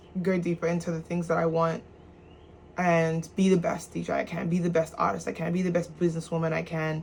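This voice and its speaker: A woman speaks at a fairly quick pace with fairly even intonation. Her somewhat breathy voice sits fairly low in pitch. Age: 20s. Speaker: musician and DJ vlogger. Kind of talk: casual vlog monologue. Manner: fast; halting, many restarts.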